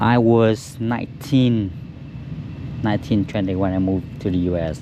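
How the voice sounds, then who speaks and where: A man speaks with a Vietnamese accent at a moderate pace, his pitch fairly low. There is ordinary pitch variation and noticeable background noise. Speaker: auto detailer. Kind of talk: casual chat. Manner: halting.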